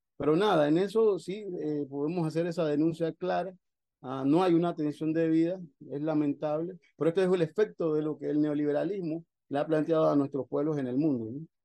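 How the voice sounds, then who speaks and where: This man talks at a fairly quick pace with a fairly high pitch, a dark, mellow tone and fairly even intonation. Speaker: activist. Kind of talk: interview.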